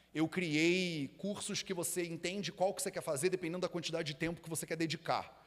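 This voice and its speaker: A man speaks in a Rio de Janeiro accent, his pitch high. His tone is animated. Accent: carioca (Rio de Janeiro). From Rio de Janeiro, Brazil. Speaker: Ayurveda teacher and school founder. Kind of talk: live talk to audience. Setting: stage with live audience. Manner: casual, animated.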